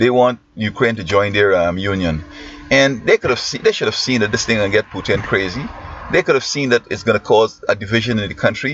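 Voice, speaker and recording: Over noticeable background noise, a man with a Guyanese accent talks very fast in a fairly low voice with ordinary pitch movement. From Guyana. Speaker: teacher and commentator. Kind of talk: opinion monologue. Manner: halting.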